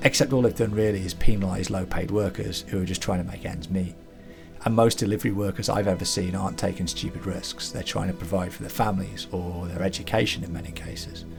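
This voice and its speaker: Over music in the background, a man talks very fast in a very deep, low pitch. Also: fairly even intonation. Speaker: channel host. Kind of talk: casual commentary.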